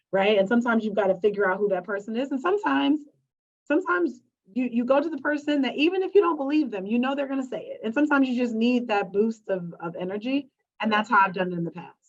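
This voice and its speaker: Speaking at a very fast pace, a woman uses a high pitch with very wide pitch swings. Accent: American. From US Midwest, Chicago. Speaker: panelist, business leader. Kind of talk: panel discussion. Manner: halting.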